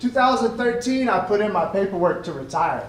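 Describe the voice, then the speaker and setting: Loud and at a moderate pace, a man speaks with lively intonation amid audible room echo and noticeable background noise. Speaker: Air Force veteran and college student. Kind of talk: ceremony speech.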